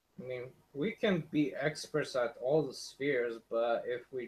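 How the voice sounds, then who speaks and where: In a non-native accent, a man speaks very slowly in a somewhat breathy voice at a medium pitch. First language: not English. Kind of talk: casual chat.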